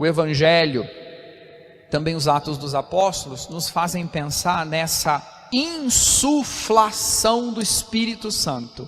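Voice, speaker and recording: A man speaks at a very slow pace with a high pitch and lively intonation. Noticeable background noise runs beneath him. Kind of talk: homily at Mass.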